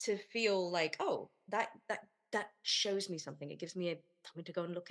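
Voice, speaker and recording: Talking at a fairly quick pace, a woman speaks with a British accent. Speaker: podcast host. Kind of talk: casual interview.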